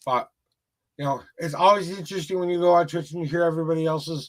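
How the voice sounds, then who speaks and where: With an American accent, a man talks in a high voice with fairly even intonation. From rural Minnesota, US Midwest. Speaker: tarot reader livestreamer. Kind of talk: casual livestream chat; motivational speech. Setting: live stream.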